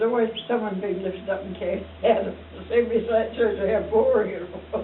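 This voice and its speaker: Over noticeable background noise, a woman with a fairly high pitch speaks very fast in a monotone, flat way. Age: 80s+. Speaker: school alumna. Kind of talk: interview answer.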